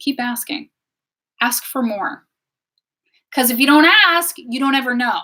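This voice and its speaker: Bright and sharp in tone, a woman projects a raised voice at a high pitch and a moderate pace. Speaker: wellness teacher and tarot reader. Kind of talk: live stream talk. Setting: live stream on social media. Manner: loud; animated.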